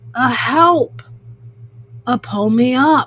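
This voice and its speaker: A put-on character voice bellows and shouts. The pitch sits fairly high. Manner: bellowing, shouting.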